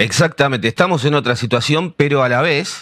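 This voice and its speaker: A man with a Rioplatense accent and vocal fry talks at a fairly quick pace on a very clean recording with a silent background. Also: dry, close sound with no echo. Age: 40s. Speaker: podcast host. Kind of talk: interview.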